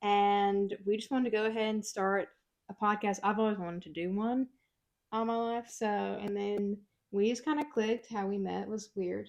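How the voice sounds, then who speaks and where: In a Mississippi accent, a woman with a medium pitch talks at a moderate pace with fairly even intonation. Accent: Southern US (Mississippi). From US South, Mississippi. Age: 20s. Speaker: podcast co-host. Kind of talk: casual chat.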